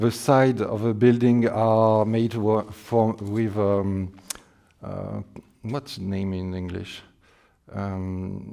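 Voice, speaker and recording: A man at medium pitch with a French accent, a dark, mellow tone and a very slow pace. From France. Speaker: scale modeler. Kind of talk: demonstration talk. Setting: exhibition with public. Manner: halting.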